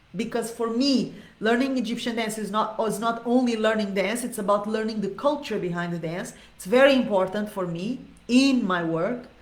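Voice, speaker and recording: A woman with a fairly high pitch speaks in an animated tone at a moderate pace, with ordinary pitch variation, big swings in loudness, and audible room echo. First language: not Arabic, not English. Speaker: dance teacher. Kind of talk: live Q&A monologue. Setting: live video stream.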